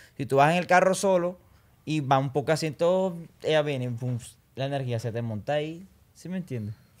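A man speaks at a fairly quick pace with a fairly high pitch and ordinary pitch variation. He takes long, frequent pauses. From Colombia, Barranquilla; Colombia. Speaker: urban music singer; podcast guest. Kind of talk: casual interview chat. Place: studio. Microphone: studio mic.

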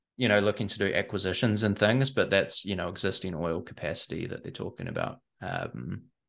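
A man's low-pitched voice with vocal fry, a fairly bright tone, lively intonation and a fairly quick pace.

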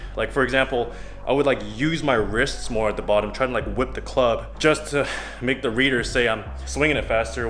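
Faint music plays in the background. A man talks at a fairly quick pace. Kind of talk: casual vlog chat. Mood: relaxed, reflective. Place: gym. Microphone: phone near.

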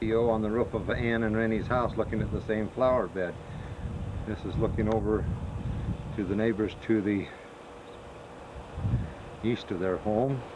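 Amid noticeable background noise, a man speaks at a fairly low pitch with monotone, flat intonation. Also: moderate pace. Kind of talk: home video narration. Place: garden. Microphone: old recording.

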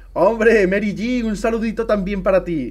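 A man with a Spanish accent. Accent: Peninsular Spanish. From Spain. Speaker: gaming streamer. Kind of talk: live gameplay stream chat. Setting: live stream with camera. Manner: animated. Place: home room.

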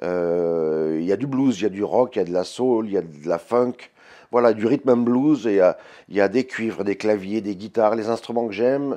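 A man's voice sits fairly low in pitch, with a dark, mellow tone. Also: ordinary pitch variation, moderate pace, quiet background. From France. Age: 50s. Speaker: blues guitarist and singer. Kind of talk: interview answers. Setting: label office. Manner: hesitant, many fillers. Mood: warm, reminiscing, proud. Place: office.

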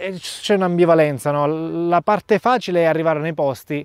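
A man's voice shows ordinary pitch variation, with a dry sound with no echo and a quiet background. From Sicily, Gela; Sicily. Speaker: travel reporter and youtuber; travel reporter, youtuber. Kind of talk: interview. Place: open country. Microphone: lapel.

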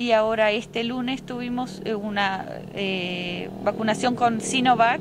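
Over noticeable background noise, a woman speaks very slowly with fairly even intonation, and the sound is dry with no echo. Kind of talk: interview answer. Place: street. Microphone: handheld.

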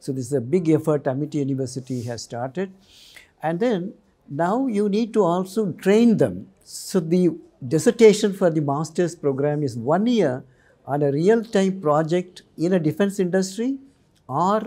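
A man speaks at a moderate pace with a high pitch. His tone is dark and mellow, and the background is quiet. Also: lively intonation. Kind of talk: interview answer. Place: studio. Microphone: lapel.

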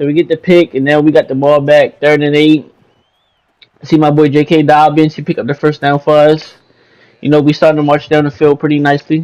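A man speaks at a fairly quick pace with a fairly high pitch. The sound is dry and close with no echo. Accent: American. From Baltimore, Maryland, US. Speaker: gaming YouTuber. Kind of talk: gameplay commentary. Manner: casual, energetic.

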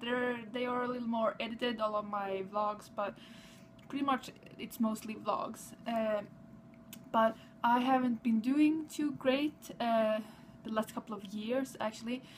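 A cheerful, fairly slow voice with a Swedish accent, fairly even intonation and light background noise. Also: woman, fairly high pitch for a woman. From Sweden. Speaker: vlogger. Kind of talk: casual vlog. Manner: cheerful, halting. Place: home room. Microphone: webcam.

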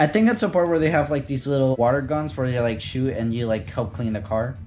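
Faint music sits behind a man as he talks. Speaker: vlogger. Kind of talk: casual vlog chat. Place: home room. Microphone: phone near.

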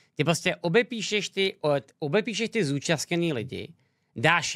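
A man's bright, sharp voice, fairly high in pitch with vocal fry, at a fairly slow pace against a quiet background. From Czech Republic. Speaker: streamer reacting to a debate. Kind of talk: live stream reaction commentary. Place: home room. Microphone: studio mic.

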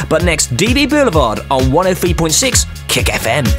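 A man is talking while clear music can be heard behind him. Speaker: radio DJ. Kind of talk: radio DJ links. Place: studio.

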